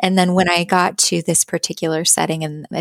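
A woman talks at a fairly quick pace with a General American accent. The sound is dry and close, with no echo. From US West, Boise, Idaho. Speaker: music therapist and children's singer-songwriter. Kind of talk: podcast interview.

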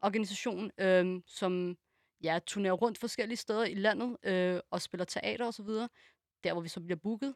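In a normal speaking voice, a woman at medium pitch speaks at a fairly slow pace with ordinary pitch variation, on a very clean, dry, close recording with a silent background and no echo. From Denmark. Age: 20s. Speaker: special education assistant. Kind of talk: casual chat.

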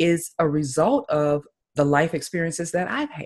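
A woman with fairly low pitch speaks in a Southern US accent. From US South, Tallahassee, Florida. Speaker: life and business coach. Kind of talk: interview.

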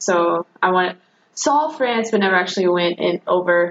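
A woman's plain, everyday voice, medium in pitch, with ordinary pitch variation. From North Carolina (Jamestown, near Greensboro). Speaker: graduate student. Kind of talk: casual interview.

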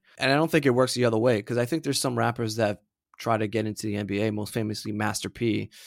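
A man with an American accent, medium pitch, fairly even intonation and a very fast pace. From Florida. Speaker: podcast co-host. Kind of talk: casual chat.

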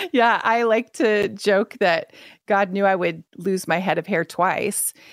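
A woman speaks in a normal speaking voice with ordinary pitch variation. The sound is dry and close, with no echo. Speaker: author and speaker. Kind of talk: radio interview.

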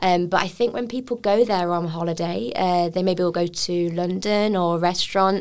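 A woman with an English accent talks at a moderate pace and a fairly low pitch. She uses hardly any pauses and ordinary pitch variation. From England. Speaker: chef and restaurant owner. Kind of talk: interview.

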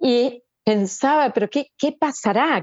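A woman is speaking. Her pace is very slow. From Argentina. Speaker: author and therapist. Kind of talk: interview.

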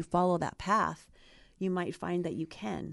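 This is a woman with an American accent and a plain, everyday voice. She sits at a medium pitch and speaks at a moderate pace. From Ohio. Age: 50s. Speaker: life coach. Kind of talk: casual chat.

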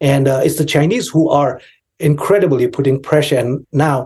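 A man with a fairly high pitch and a dark, mellow tone sounds somewhat breathy. He speaks at a fairly slow pace with ordinary pitch variation. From Tibetan community in India. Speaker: Tibetan activist and video creator. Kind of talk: casual interview conversation.

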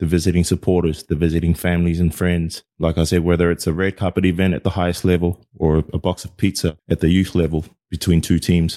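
With an American accent, the voice races along at a very fast pace with hardly any pauses, monotone and flat in intonation and dark, mellow in tone, in a very clean recording with a silent background and a dry, close sound with no echo. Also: man, very deep, low pitch for a man. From American Samoa and New Zealand. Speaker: former professional rugby player, team manager. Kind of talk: interview.

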